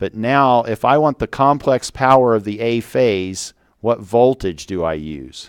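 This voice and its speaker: A man of medium pitch talks at a fairly slow pace with lively intonation, the sound dry and close with no echo. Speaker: university engineering professor. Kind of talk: lecture.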